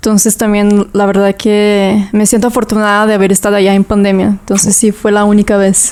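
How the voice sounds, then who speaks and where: A woman talks fairly quickly with hardly any pauses. Her intonation is monotone and flat, and her loudness is very even. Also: medium pitch for a woman. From southern Brazil (Toledo, Paraná). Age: 20s. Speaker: yoga teacher. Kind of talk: casual interview chat.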